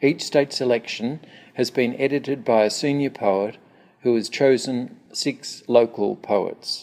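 This man has a plain, everyday voice, medium in pitch, speaking at a fairly slow pace with fairly even intonation. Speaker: magazine editor introducing the series. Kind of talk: formal spoken introduction.

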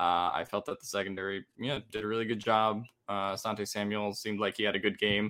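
A man's fairly low voice, an ordinary speaking voice, at a fairly quick pace with hardly any pauses and fairly even intonation. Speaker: podcast co-host. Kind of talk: casual chat.

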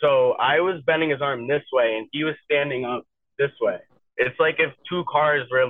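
Here is a man with an ordinary speaking voice. He speaks at a moderate pace and a medium pitch. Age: young. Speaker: amateur MMA fighter. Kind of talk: interview.

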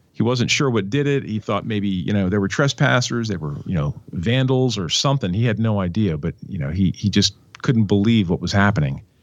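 Over noticeable background noise, a man with a fairly low pitch talks at a fairly quick pace with lively intonation. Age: 50s. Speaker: paranormal podcaster and website owner. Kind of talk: casual interview chat. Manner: halting, frequent fillers.

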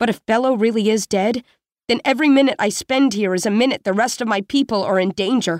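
Pitch varies in an ordinary way in this unforced reading voice. Behind it, all is quiet.

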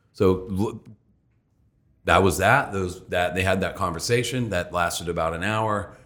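With an American accent and a very deep, low pitch, a man speaks at a moderate pace with fairly even intonation. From Ohio. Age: 40s. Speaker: bartender. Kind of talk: casual interview chat.

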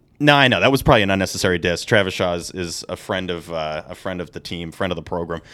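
A man with a very deep, low voice talks at a very fast pace in an animated, bright and sharp tone with ordinary pitch variation, recorded very cleanly against a silent background. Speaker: podcast host. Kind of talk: casual sports podcast banter. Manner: animated, joking.

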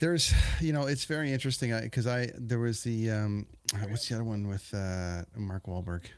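This man talks at a moderate pace in a medium-pitched voice. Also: ordinary pitch variation. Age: 40s. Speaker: podcast host. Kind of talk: casual interview. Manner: halting.

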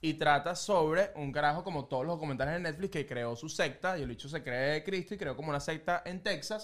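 A man with a Venezuelan accent speaks at a very fast pace. His pitch is fairly high, with ordinary pitch variation. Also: hardly any pauses. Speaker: film and pop culture podcast host. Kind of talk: casual chat.

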